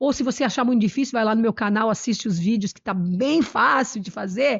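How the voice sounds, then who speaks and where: A loud, animated woman's voice, fairly high-pitched, with very wide pitch swings. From southern Brazil, Italian-descended interior (Nova Brescia, RS). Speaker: cooking youtuber and entrepreneur. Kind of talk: interview.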